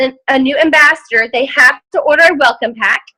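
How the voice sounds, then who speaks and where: Projecting a raised voice, a woman speaks at a moderate pace in a bright, sharp tone with ordinary pitch variation. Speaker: team leader of sales ambassadors. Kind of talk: team call presentation. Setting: group video call. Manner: loud.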